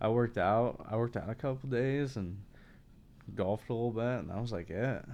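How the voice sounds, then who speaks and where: A man with a normal speaking voice talks in an American accent at a medium pitch. His pace is fairly quick, with ordinary pitch variation. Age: 20s. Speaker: content creator. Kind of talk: casual chat.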